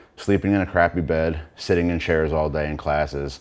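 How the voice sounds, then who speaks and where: A man speaks in a shaky voice. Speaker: brain surgery patient, panel member. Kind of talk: panel talk, personal testimony. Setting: in front of an audience with microphone and lights. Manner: hesitant, many filler words.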